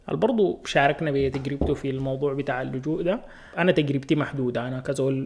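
A man with a Sudanese accent speaks at a fairly quick pace with fairly even intonation, and there is noticeable background noise. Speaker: podcast host and video creator. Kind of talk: solo podcast monologue. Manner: casual, hesitant with fillers.

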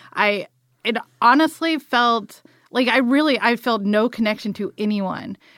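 A woman with an American accent uses a plain, everyday voice at a fairly high pitch, with ordinary pitch variation and a fairly slow pace. The recording is very clean with a silent background and a dry, close sound with no echo. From US South, South Georgia. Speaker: filmmaker and film crew worker. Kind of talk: casual interview chat.

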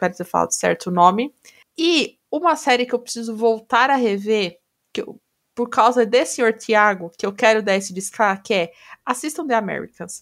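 A woman speaks in a normal speaking voice, fairly high in pitch. Her intonation is lively and her pace moderate. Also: very clean recording, silent background. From Brazil. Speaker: podcast co-host. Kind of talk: casual chat.

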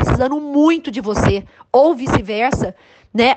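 Pitched high, a woman's voice carries lively intonation. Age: 50s. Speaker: life coach and former councillor. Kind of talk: interview.

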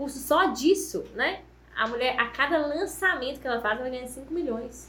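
In a raised, projected voice, a woman speaks with ordinary pitch variation, and audible room echo can be heard. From Minas Gerais, Brazil (Ponte Nova, Viçosa). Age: 20s. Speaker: confectioner, small business owner. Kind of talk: casual podcast interview.

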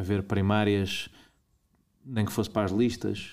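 A man with a European Portuguese accent, fairly low in pitch, at a moderate pace. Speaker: political commentator. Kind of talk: interview.

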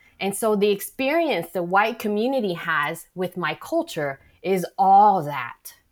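A woman with a slight Vietnamese accent, very wide pitch swings and hardly any pauses, on a very clean recording with a silent background. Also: medium pitch for a woman. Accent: light Vietnamese-accented American English. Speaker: novelist and arts director. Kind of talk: casual interview.

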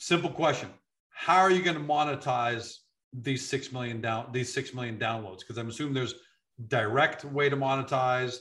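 An ordinary speaking voice with ordinary pitch variation and a moderate pace. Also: man, medium pitch for a man. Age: 50s. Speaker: business interviewer. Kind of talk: interview.

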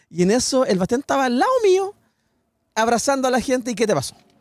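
A man speaks with a Chilean accent and lively intonation. The sound is dry and close, with no echo. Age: 40s. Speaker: podcast host. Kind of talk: casual chat.

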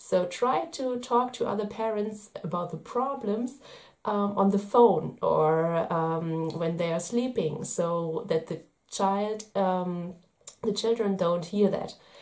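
Speaking very slowly with a German accent, a woman uses a medium pitch and ordinary pitch variation. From Germany. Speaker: parenting vlogger. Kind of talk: video tips monologue. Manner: hesitant, many fillers.

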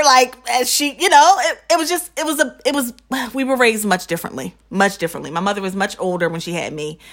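With an American accent, a woman speaks at a fairly quick pace, her pitch swinging very widely. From New Jersey suburbs. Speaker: podcast co-host. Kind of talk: casual chat.

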